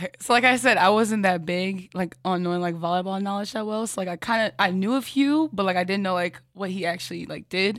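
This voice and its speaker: On a very clean recording with a silent background, a normal speaking voice moves at a fairly quick pace with hardly any pauses. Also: woman, medium pitch for a woman, ordinary pitch variation. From Kansas City, US Midwest. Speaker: college volleyball player. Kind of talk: casual interview.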